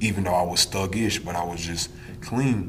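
With an American accent, a man with a very deep, low voice speaks at a moderate pace, amid noticeable background noise and audible room echo. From Wisconsin (Milwaukee). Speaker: prison inmate. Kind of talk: interview.

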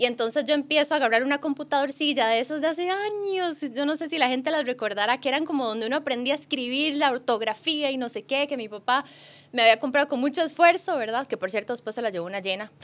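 A woman at a very fast pace, high in pitch, with lively intonation. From Costa Rica. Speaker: sports journalist. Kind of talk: casual chat.

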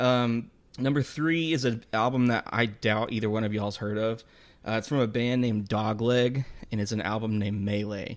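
With an American accent, a man speaks in an ordinary speaking voice at a medium pitch and a moderate pace, his intonation fairly even. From Texas. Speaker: podcast co-host. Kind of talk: casual chat.

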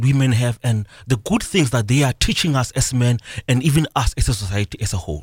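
Here a man with a medium pitch and lively intonation sounds somewhat breathy. The recording is very clean with a silent background, and the sound is dry and close with no echo. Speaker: motivational author and life coach. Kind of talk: radio interview. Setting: radio studio.

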